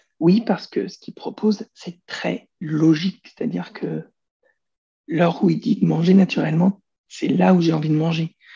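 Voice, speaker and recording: At a moderate pace, a man's loudness swings widely, captured in a dry, close sound with no echo. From France. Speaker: personal development coach. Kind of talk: interview.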